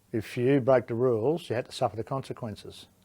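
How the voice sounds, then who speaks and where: A dark, mellow tone with an Australian accent, moderate pace and ordinary pitch variation, on a very clean recording with a silent background. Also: man. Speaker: war veteran. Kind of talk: interview answer.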